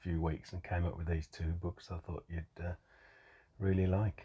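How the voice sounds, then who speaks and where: A man with an English accent speaks at a moderate pace in a very deep, low voice. His tone is dark, mellow and somewhat breathy, over a quiet background. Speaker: podcast co-host. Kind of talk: casual chat.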